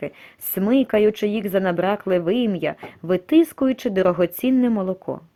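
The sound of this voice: The reading voice is unforced. Pitch moves in an ordinary way.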